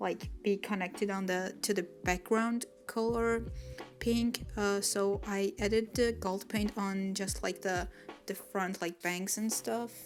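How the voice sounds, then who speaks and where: Over background music, a woman with a non-native accent talks at a very slow pace in a medium pitch with flat, monotone intonation. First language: not English. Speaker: watercolor artist, YouTuber. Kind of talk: voiceover narration of speedpaint. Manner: hesitant, many fillers; mumbling.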